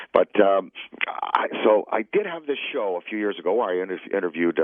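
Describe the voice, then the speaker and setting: Fairly quick talking over noticeable background noise. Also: man. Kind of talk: radio interview answer, telling an anecdote. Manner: fast, animated, conversational.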